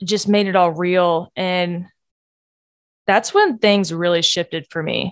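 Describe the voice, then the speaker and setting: At a fairly slow pace with long, frequent pauses, a woman speaks in a medium pitch, the sound dry and close with no echo. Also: fairly even intonation. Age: 20s. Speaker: podcast host sharing personal story. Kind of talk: personal testimony monologue. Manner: casual with fillers and laughs.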